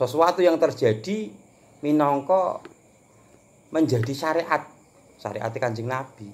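Speaking at a very slow pace, a man leaves long, frequent pauses. His fairly high pitch carries lively intonation. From Java, Indonesia. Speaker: religious teacher. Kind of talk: lecture. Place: home room. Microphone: phone near.

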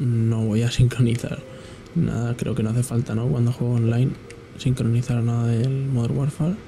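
Moderate-paced male speech at a medium pitch, heard over noticeable background noise. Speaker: gaming youtuber. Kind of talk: live gameplay commentary. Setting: home at night. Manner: quieter than usual; hesitant, filler-heavy.

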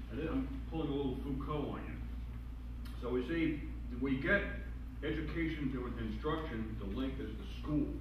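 A man with a very deep, low pitch speaks at a moderate pace in a monotone, flat intonation, leaving long, frequent pauses. Noticeable background noise and audible room echo fill the recording. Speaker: philosopher. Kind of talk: panel discussion. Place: meeting room. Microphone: camera far.

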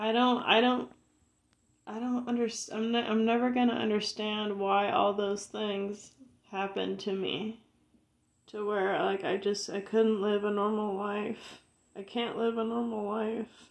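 A woman talks at a fairly slow pace in a fairly high voice. Her intonation is monotone and flat. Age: 30s. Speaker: video blogger. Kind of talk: personal rant to camera. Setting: home video recording. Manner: halting, repetitive. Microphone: phone near.

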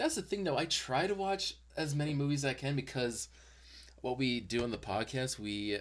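Lively intonation marks a man's a plain, everyday voice. He speaks at a moderate pace. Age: 20s. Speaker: YouTube interview host. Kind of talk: casual chat. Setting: video call.

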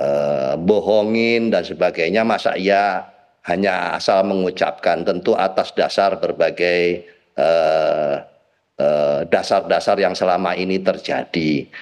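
Against a quiet background, a man talks very slowly. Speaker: party politician; guest. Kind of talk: TV talk show discussion. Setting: remote video link. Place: home room. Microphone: video call.

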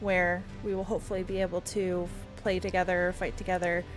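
Clear music runs in the background. Over it, a woman talks. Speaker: gamer. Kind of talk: casual talk to camera. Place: home room.

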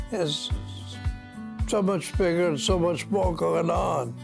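Clear music plays in the background. A man speaks with lively intonation. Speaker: university alumnus. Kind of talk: interview answer. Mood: warm, nostalgic. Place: home room.

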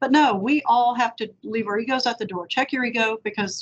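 With a Texan accent, a woman talks at a fairly quick pace with ordinary pitch variation. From Victoria, Texas; Texas. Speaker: district attorney; interviewee. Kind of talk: panel interview. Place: office. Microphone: video call.

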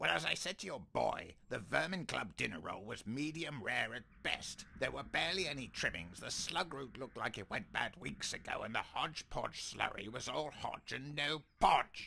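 In a cartoonish character voice, a man talks at a fairly high pitch. He barely pauses at all. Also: moderate pace. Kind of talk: animated comedy voice acting. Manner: irritable, pompous, sarcastic.

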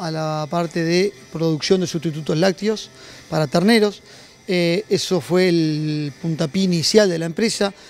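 Faint music plays in the background as a man speaks at a fairly slow pace in a high pitch with ordinary pitch variation. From Uruguay. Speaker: company general manager. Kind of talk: interview. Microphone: handheld.

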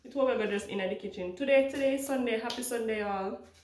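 A woman speaks at a very fast pace with fairly even intonation. Light background noise and audible room echo are present. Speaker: family vlogger. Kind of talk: casual vlog chat. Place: kitchen. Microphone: phone near.

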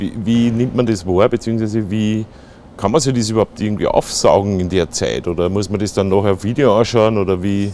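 A fairly quick, fairly low-pitched man's voice with an Austrian accent, dark, mellow tone and fairly even intonation, in a dry sound with no echo and light background noise. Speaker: interviewer. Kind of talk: casual interview. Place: studio. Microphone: lapel.

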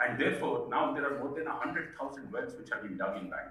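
A man talks fairly quickly, and audible room echo is present. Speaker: speaker. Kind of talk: speech. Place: hall. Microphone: pa.

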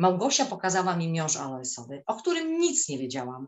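The background is quiet, and the talking comes at a fairly quick pace. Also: woman. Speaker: teacher and swimming instructor; teacher, swimming instructor. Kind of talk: testimony. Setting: video call. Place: home room. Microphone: webcam.

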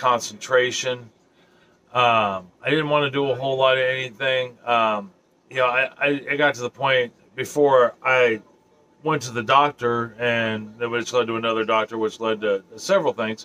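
A man keeps a moderate pace, his intonation fairly even. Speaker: vlogger. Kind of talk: casual vlog chat. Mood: serious, reflective. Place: home room.

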